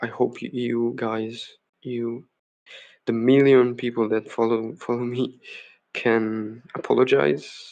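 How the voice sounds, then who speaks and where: A man at a medium pitch, with a non-native accent, at a very slow pace. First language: not English. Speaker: game developer streamer. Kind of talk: live coding stream. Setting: home live stream. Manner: hesitant, many fillers.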